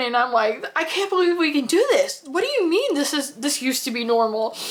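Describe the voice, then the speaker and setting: Over noticeable background noise, a woman with an American accent speaks in an animated tone at a moderate pace. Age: 40s. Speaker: homesteader. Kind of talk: personal storytelling.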